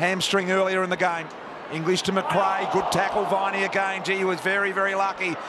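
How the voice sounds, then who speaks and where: Over loud background noise, a man with a high pitch speaks in a raised, projected voice at a fairly quick pace, his intonation monotone and flat and the sound dry with no echo. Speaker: football commentator. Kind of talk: live commentary. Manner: measured, conversational calls, with occasional wry humour.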